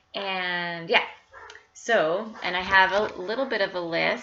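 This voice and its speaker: Noticeable background noise surrounds a woman speaking at a fairly slow pace. Her pitch is medium. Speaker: cross-stitch vlogger. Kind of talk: casual chat. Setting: home. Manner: hesitant, many fillers.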